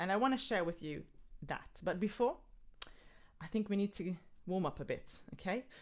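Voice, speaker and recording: The pitch swings very widely. The tone is animated. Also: woman. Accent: Israeli. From Israel. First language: Hebrew. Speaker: singer and workshop leader. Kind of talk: live online music workshop talk. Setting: live video stream.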